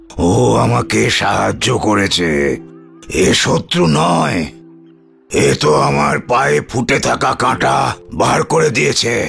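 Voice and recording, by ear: A man uses a cartoonish character voice with very deep, low pitch and very wide pitch swings, speaking at a fairly slow pace. Faint music plays in the background.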